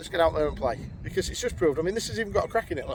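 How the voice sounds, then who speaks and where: This is a man speaking. He has a Yorkshire accent. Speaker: amateur golf vlogger. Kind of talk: casual vlog commentary while playing golf. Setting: outdoors on a golf course.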